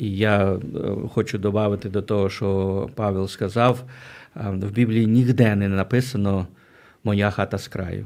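Recorded very cleanly with a silent background, a man talks at a fairly slow pace with long, frequent pauses. His pitch is fairly low and his intonation monotone and flat. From Ukraine, Berdychiv (Zhytomyr region). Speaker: pastor, mission leader. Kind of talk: radio interview. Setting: radio studio.

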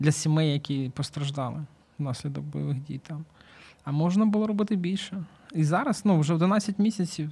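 A man with a dark, mellow tone and a fairly high pitch speaks at a moderate pace on a very clean recording with a silent background. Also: ordinary pitch variation. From Ukraine, Kyiv. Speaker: volunteer, charity founder. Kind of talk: interview.

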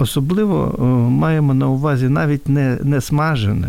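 With a normal speaking voice, a man talks at a medium pitch. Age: 60s. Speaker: hepatologist. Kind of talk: radio interview.

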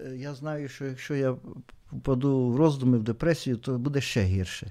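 On a very clean recording with a silent background, a man speaks at a moderate pace with a fairly high pitch, a dark, mellow tone and ordinary pitch variation. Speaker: theology teacher and church deacon. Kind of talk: radio interview.

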